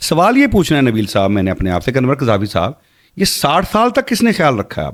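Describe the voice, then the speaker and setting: A man with a fairly high pitch and vocal fry talks at a moderate pace, his pitch swinging very widely. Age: 50s. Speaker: Islamic speaker and podcast guest. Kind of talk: podcast interview.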